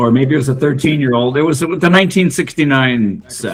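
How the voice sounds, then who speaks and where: At a moderate pace, a man talks with very wide pitch swings. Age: 60s. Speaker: tabletop baseball game player and tournament host. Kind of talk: casual interview chat.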